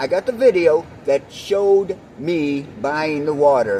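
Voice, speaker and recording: The voice has lively intonation over noticeable background noise. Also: man. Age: 60s. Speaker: vlogger telling a personal story. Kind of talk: personal storytelling to camera. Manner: casual, with fillers and repetitions.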